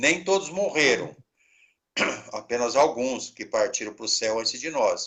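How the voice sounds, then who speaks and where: This man's pace is fairly slow. He talks at a fairly high pitch. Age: 60s. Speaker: pastor, head of a mission organization. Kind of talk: interview.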